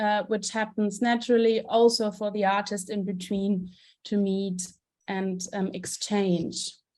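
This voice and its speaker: At a fairly slow pace, a woman speaks in a flat monotone with medium pitch and a dark, mellow tone. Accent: German. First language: German. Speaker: theater director and festival curator. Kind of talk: conference presentation. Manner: halting, many fillers.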